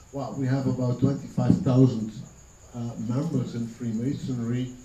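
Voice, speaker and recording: Amid noticeable background noise and audible room echo, a man speaks at a fairly slow pace and medium pitch with fairly even intonation. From Belgium. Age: 60s. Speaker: senior freemason. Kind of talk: interview. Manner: halting, many fillers and repetitions.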